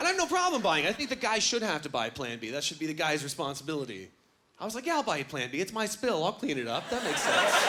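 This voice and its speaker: A high-pitched man races along at a very fast pace with very wide pitch swings over noticeable background noise. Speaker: stand-up comedian. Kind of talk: stand-up comedy set. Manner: energetic.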